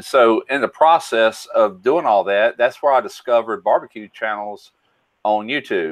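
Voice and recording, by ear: Fairly low in pitch, a man speaks with ordinary pitch variation. His pace is moderate.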